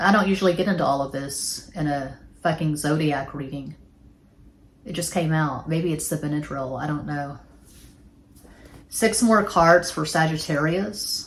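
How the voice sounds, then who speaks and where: In a Texas accent, a woman with a very deep, low pitch and a somewhat breathy voice talks at a moderate pace with ordinary pitch variation and long, frequent pauses, amid audible room echo. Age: 40s. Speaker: tarot reader. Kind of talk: tarot reading; casual monologue. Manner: casual.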